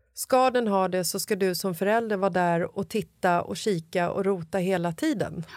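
A woman with an unremarkable speaking voice talks at a moderate pace with hardly any pauses, her medium pitch showing ordinary pitch variation. The recording is very clean, with a silent background. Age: 40s. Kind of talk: casual chat.

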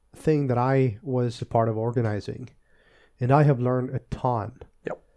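A man speaks at a fairly slow pace with a medium pitch. His tone is dark and mellow. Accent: Swedish. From Sweden, Östergötland. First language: Swedish. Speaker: tech podcast co-host, database specialist. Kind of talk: casual chat.

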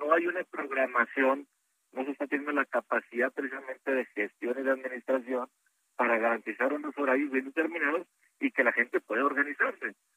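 This man has a normal speaking voice. He talks fairly quickly at a fairly high pitch. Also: fairly even intonation. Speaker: senator. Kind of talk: radio interview.

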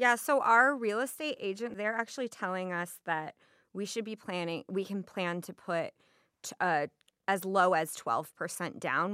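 The tone is bright and sharp, with lively intonation at a fairly slow pace. The recording is very clean, with a silent background and a dry, close sound with no echo. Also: woman. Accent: American. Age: 20s. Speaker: food and beverage worker. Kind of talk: interview about personal finances.

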